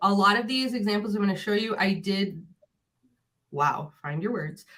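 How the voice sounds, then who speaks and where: Medium pitch, a moderate pace and ordinary pitch variation from a woman with a plain, everyday voice. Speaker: tech coach; educational technology coach. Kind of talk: webinar presentation.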